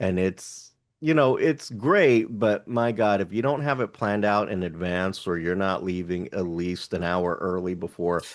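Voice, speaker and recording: Over a quiet background, a man with a Texas accent speaks at a fairly low pitch and moderate pace, with ordinary pitch variation and hardly any pauses. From Houston, Texas. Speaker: podcast co-host. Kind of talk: casual chat.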